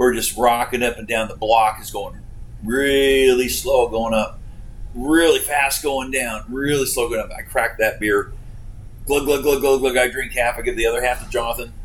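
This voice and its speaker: A man with an Alaskan accent talks at a moderate pace over noticeable background noise. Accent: Alaskan American. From Alaska (Homer). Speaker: commercial fishing captain. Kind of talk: casual interview storytelling.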